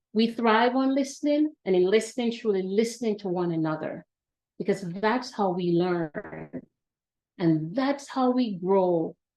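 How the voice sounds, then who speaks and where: With a Jamaican accent, a woman speaks at a medium pitch and a fairly slow pace. Her intonation is lively. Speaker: academic administrator and panel speaker. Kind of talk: welcome address. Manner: formal.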